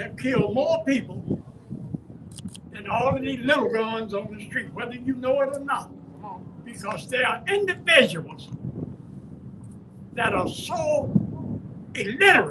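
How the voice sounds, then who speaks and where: Amid noticeable background noise, a man speaks at an extremely high pitch and a fairly slow pace, with long, frequent pauses and very wide pitch swings. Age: 80s+. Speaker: community elder speaking at a rally. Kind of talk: rally speech.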